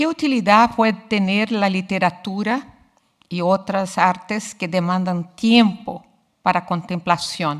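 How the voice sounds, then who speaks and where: On a very clean recording with a silent background, a woman at medium pitch talks at a very slow pace with ordinary pitch variation. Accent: Portuguese. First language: Portuguese (speaking Spanish). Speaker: literature researcher. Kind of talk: lecture. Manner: formal.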